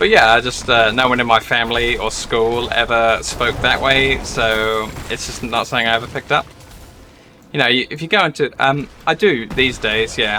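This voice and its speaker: A man with an American accent and ordinary pitch variation, over noticeable background noise. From southeast England, near London (Essex). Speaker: gaming streamer. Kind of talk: live gameplay stream chat. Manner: casual, hesitant with fillers.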